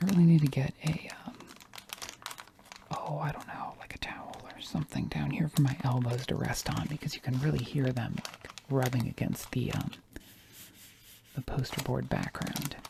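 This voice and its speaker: A whisper at a moderate pace, broken by long, frequent pauses, over noticeable background noise. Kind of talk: ASMR unboxing, casual talk to camera. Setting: home recording with a fluffy microphone. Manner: soft-spoken, casual, rambling.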